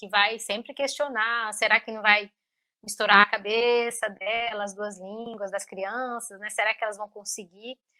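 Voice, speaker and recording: A bright, sharp tone in a Brazilian accent, with monotone, flat intonation, big swings in loudness and a fairly slow pace. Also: woman. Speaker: linguist and mother. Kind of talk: interview. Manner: halting, many fillers.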